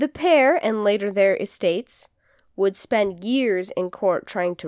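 Lively intonation marks an ordinary speaking voice going at a fairly slow pace, with a dry, close sound with no echo and a quiet background. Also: woman. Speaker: podcast co-host. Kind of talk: casual chat with storytelling segment. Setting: studio, in person with co-host.

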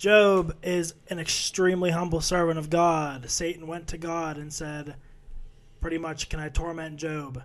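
In a flat monotone, a man with a high voice speaks at a fairly slow pace, his loudness swinging widely. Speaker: podcast co-host, Bible study discussion. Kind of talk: casual chat, summarizing scripture. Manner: low energy, quiet.

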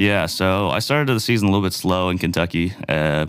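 A man speaks at a fairly quick pace in a very deep, low voice, recorded very cleanly against a silent background. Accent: Nova Scotian. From Nova Scotia, Cole Harbour. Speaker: professional baseball player. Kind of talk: interview. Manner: casual, hesitant with fillers.

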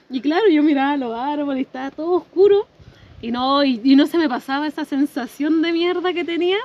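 A woman's high-pitched voice moves at a fairly quick pace with ordinary pitch variation while noticeable background noise carries on. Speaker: podcast guest. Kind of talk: casual chat. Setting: outdoors.

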